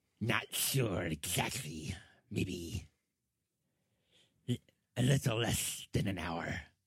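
Using a raspy, put-on character voice, a man speaks very slowly in a fairly low pitch with lively intonation and long, frequent pauses. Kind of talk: fantasy role-play character voice. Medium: actual play. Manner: terse, guarded.

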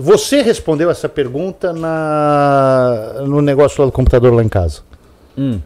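The voice is a man's, dark and mellow in tone. His intonation is lively. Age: 50s. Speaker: friend of the hosts giving personal finance views. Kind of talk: casual chat.

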